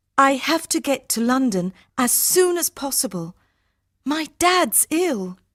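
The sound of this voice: In a put-on character voice, a woman speaks slowly at a high pitch with big pitch swings and a fairly bright tone, on a very clean recording with a silent background and a dry, close sound with no echo.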